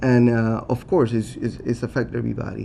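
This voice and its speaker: A man with a strong Puerto Rican accent. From Puerto Rico. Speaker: city council candidate. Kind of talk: candidate forum answer. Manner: halting, many fillers and restarts.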